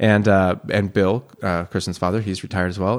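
On a very clean recording with a silent background, a man with an American accent speaks at a fairly quick pace with a very deep, low pitch. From San Francisco Bay Area, California. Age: 30s. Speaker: oyster farmer. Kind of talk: casual chat. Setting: host's home. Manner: animated.

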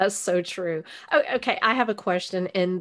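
A woman with a Texan accent, medium pitch, ordinary pitch variation and a moderate pace, against a quiet background. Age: 50s. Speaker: podcast host. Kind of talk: interview. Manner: animated.

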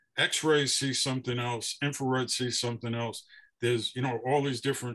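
A man's bright, sharp voice at medium pitch, with an American accent. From Brooklyn, New York. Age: 70s. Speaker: author and photographer. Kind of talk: interview conversation.

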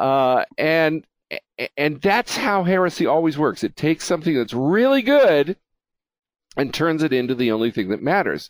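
A man with a fairly high pitch swings very widely in pitch while holding a very even loudness, in a dry, close sound with no echo. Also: moderate pace, very clean recording, silent background. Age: 60s. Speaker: talk show host. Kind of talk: casual interview chat. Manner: frequent filler uh, hesitant starts.

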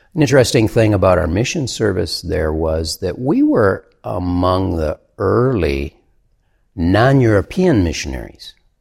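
A man's very deep, low, somewhat breathy voice at a fairly slow pace. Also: lively intonation. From US Midwest, central Michigan. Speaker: pastor and ministry worker. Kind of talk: interview conversation.

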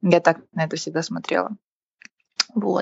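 Here a woman speaks at a moderate pace. Her voice is somewhat breathy. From Kazakhstan, Karaganda. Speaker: entrepreneur. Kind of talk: casual interview chat.

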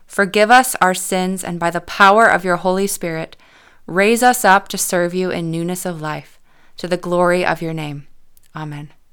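A woman's unremarkable speaking voice, medium in pitch, with ordinary pitch variation and a moderate pace, on a very clean recording over a silent background. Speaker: worship leader. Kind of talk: fervent prayer, spoken liturgy. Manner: earnest, solemn, reverent.

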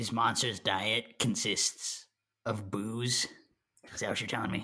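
A man's raspy, put-on character voice at medium pitch and a fairly slow pace. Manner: breezy, wisecracking, bossy.

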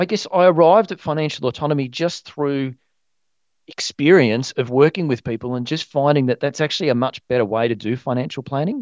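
Fairly quick and fairly high-pitched, a man with an Australian accent talks with ordinary pitch variation. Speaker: financial planner. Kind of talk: casual chat.

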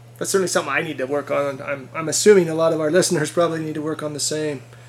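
There is noticeable background noise as a man talks at a very fast pace. His pitch is fairly high and his intonation fairly even. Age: 50s. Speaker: podcast host. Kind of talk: interview.

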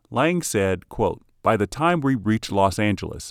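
A man with an ordinary speaking voice, fairly low in pitch, speaks with lively intonation. The sound is dry and close with no echo, on a very clean recording with a silent background. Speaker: podcast host. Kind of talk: scripted narration of film music history, read in an even, informative tone. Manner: formal; measured, informative.

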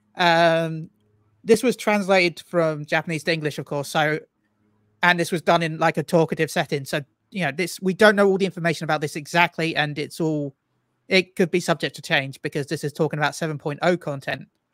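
A man with a British accent speaks at a fairly quick pace, with a fairly high pitch and fairly even intonation. The recording is very clean with a silent background, and the sound is dry and close with no echo. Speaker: streamer and guest. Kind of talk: casual chat.

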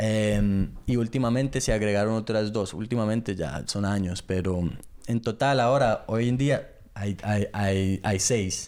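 In a very clean recording with a silent background, a man with a fairly low pitch speaks at a fairly slow pace, with very even loudness and ordinary pitch variation. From England. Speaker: podcast co-host. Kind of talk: casual chat. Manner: halting.

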